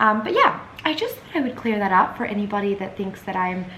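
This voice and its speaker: Noticeable background noise and audible room echo surround a woman speaking with an American accent. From Scotland (Edinburgh), then Australia from 13. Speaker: lifestyle vlogger. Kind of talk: casual vlog talk to camera.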